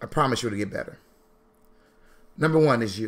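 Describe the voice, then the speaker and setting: Loud, fairly quick speech with very wide pitch swings. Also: man. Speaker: financial educator, founder of a financial literacy school. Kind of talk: motivational live stream talk. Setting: live stream with chat. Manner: fast.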